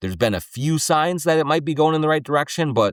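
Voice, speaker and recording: With a Minnesotan accent, a man talks at a fairly quick pace on a very clean recording with a silent background. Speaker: sports podcast host. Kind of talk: solo podcast commentary with host-read ads. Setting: studio.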